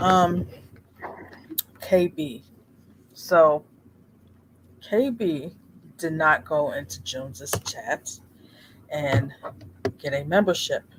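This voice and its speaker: Soft-spoken and fairly high-pitched, a man talks at a very slow pace with lively intonation and long, frequent pauses. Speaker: streamer. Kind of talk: casual chat.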